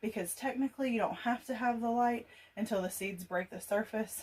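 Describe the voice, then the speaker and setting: This woman speaks with a Southern US accent and a fairly even intonation. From US South. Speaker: gardening youtuber. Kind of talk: casual tutorial. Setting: laundry room at home.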